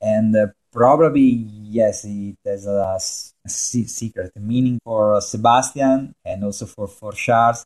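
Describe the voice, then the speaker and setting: The speaker has an Italian accent and a fairly slow pace. Intonation is fairly even, and the sound is dry and close with no echo. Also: man, medium pitch for a man. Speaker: motorsport journalist. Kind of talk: casual chat. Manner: halting, many fillers.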